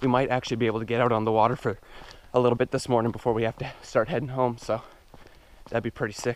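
Very fast speech from a man comes through as a dry sound with no echo. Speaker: fishing vlogger. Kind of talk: casual vlog chat. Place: forest. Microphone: phone near.

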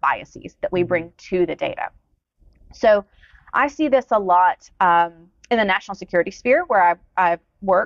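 A woman at medium pitch speaks in a Southern US accent with lively intonation, a moderate pace and long, frequent pauses. The sound is dry with no echo, over a quiet background. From US South, Georgia. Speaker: demographer; guest. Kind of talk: interview. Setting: stage with audience. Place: studio.

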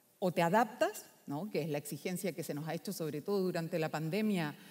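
A woman with a fairly low pitch and ordinary pitch variation has an ordinary speaking voice. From Chile, Valparaíso; Chile. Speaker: philosopher; speaker. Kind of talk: conference talk. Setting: stage with audience. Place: hall. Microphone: echo in the room; headset.

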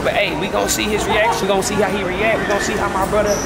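The speech runs at a very fast pace. Clear music plays in the background. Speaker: vlogger. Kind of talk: casual vlog chat. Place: shop. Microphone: phone near.

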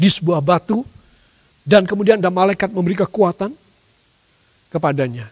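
Against a quiet background, a man's high voice swings very widely in pitch. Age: 60s. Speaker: pastor. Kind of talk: sermon. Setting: church service, live streamed. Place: church.

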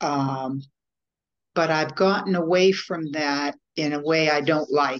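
A woman's very deep, low voice at a very slow pace, over a quiet background. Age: 70s. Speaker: coach, former social worker. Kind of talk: interview answer. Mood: reflective, slightly self-critical. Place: home room. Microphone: video call.

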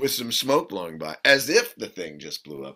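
Over a quiet background, a man with vocal fry speaks at a moderate pace. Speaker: actor interviewee. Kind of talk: interview answer. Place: home room.

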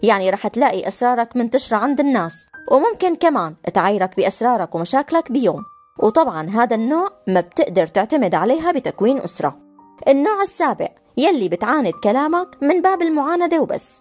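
With music in the background, a woman in a Levantine accent speaks at a moderate pace and a high pitch, her pitch swinging very widely while her loudness stays very even. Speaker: voice-over narrator. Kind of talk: explainer narration addressed to young men on relationships.

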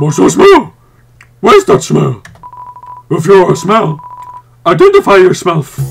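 Using a put-on character voice, a man talks at a high pitch and a moderate pace. He leaves long, frequent pauses. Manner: sniffing, menacing, suspicious.

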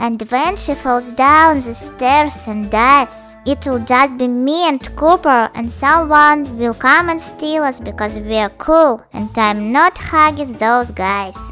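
A cartoonish character voice, female-sounding and high-pitched, at a fairly slow pace over clear music in the background. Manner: weary, deadpan.

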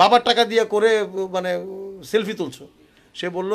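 This is a man speaking. His pitch is high. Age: 50s. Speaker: Chinese language teacher. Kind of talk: online language lesson with sales pitch. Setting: at home by room window.

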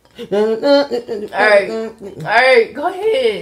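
With light background noise behind her, a woman speaks in an American accent. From Baltimore, USA. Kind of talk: casual vlog talk to camera, playful banter with partner. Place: home room. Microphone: phone near.

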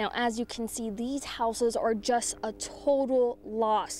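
Music plays behind a woman as she talks. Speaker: TV news reporter and anchor. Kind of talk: news reel montage of anchor and field reporter clips.

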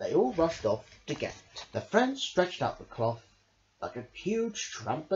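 Plain reading aloud makes up this recording.

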